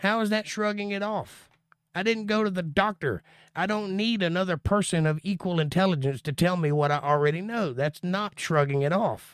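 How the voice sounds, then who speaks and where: A man's high-pitched voice in a dry, close, very clean recording with no echo and a silent background. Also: ordinary pitch variation, moderate pace. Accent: American. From Florida. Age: 40s. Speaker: bible teacher. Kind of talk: livestream bible study with chat Q&A. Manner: casual.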